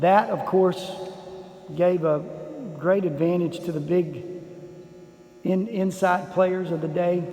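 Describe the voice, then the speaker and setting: Over noticeable background noise and audible room echo, a man with a West Texas accent talks at a very slow pace in a high, relaxed voice, keeping his intonation fairly even and leaving long, frequent pauses. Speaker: basketball history vlogger. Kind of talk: casual video tour narration. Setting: inside an empty school gym. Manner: relaxed, conversational with fillers.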